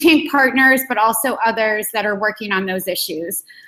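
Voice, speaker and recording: A woman's bright, sharp tone at a fairly high pitch and a moderate pace. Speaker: editor leading intern team call. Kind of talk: work meeting briefing. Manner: halting, many fillers and repeats.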